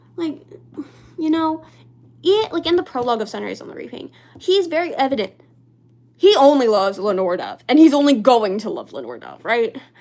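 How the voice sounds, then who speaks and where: Amid noticeable background noise, a woman with a high pitch speaks at a fairly quick pace, with very wide pitch swings, big swings in loudness and long, frequent pauses. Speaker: livestreamer. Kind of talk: casual chat. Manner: halting; soft-spoken.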